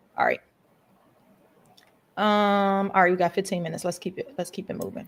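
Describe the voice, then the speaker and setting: Fairly quick speech from a woman, pitched in the medium range. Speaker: school board member. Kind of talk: livestream budget review chat. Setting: video call. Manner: fast; animated.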